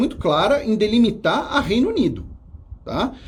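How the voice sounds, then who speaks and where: A man speaks in a high pitch. The room echo is audible. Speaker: history teacher. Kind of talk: live exam review lecture. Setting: studio. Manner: fast.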